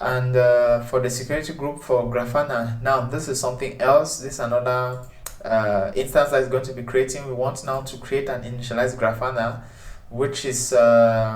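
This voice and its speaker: A man talks at a moderate pace in a medium pitch, his intonation monotone and flat. Audible room echo surrounds his voice. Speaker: tech tutorial presenter. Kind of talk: tutorial. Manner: hesitant, many filler sounds.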